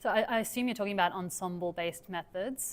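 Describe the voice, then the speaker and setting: In an Australian accent, a woman speaks at medium pitch with ordinary pitch variation. The recording is very clean, with a silent background. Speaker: academic researcher. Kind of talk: lecture Q&A.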